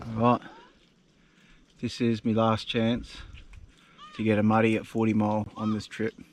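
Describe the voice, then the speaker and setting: A man with a strong Australian accent talks at a moderate pace and a medium pitch, his intonation monotone and flat, with long, frequent pauses. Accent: broad Australian. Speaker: travel vlogger. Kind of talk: casual vlog narration. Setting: outdoors. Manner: relaxed.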